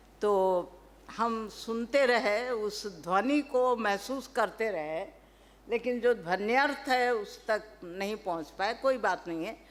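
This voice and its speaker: Fairly high female speech, its pitch varying in an ordinary way. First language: Telugu (speaking Hindi). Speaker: professor. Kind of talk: seminar talk. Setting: stage at academic seminar. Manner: formal; hesitant fillers.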